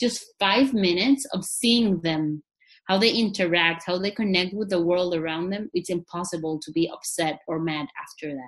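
A moderate pace with ordinary pitch variation. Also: woman, fairly low pitch for a woman. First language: not English. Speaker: psychologist. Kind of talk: interview.

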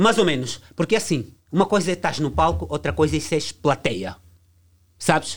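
A man speaks at a moderate pace with fairly high pitch and vocal fry. His pitch swings very widely, and he leaves long, frequent pauses. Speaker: music producer. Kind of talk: heated debate.

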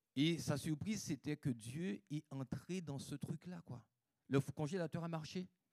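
An unremarkable speaking voice from a man, fairly high in pitch with ordinary pitch variation, at a fairly slow pace, dry and close with no echo. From Guadeloupe. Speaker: preacher. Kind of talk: sermon. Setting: church.

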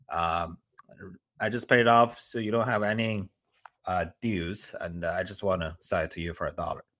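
In a very clean recording with a silent background and a dry, close sound with no echo, a man with a Chinese accent speaks at a moderate pace in a fairly low pitch with ordinary pitch variation. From China. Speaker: land investor. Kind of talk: interview.

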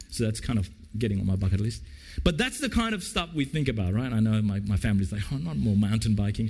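Somewhat breathy and delivered at a very fast pace, this voice carries an Australian accent and lively intonation. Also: man, fairly low pitch for a man. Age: 50s. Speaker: pastor. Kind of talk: sermon. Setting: church.

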